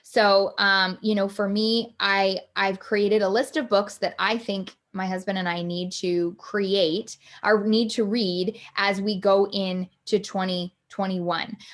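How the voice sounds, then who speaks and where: This woman has a plain, everyday voice. Its medium pitch moves with ordinary variation. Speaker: life coach hosting a live online workshop. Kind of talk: live online workshop talk. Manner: many fillers and restarts.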